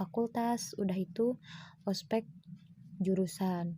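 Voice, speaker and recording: Very slowly, a woman speaks at medium pitch with ordinary pitch variation. Her voice is somewhat breathy, with a dark, mellow tone. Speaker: university student. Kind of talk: personal testimony. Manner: casual, with fillers.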